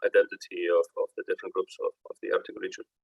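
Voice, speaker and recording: A man with an Icelandic accent talks at a fairly quick pace. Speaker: executive director, forum speaker. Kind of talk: closing speech to youth delegates. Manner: halting, many fillers and repetitions.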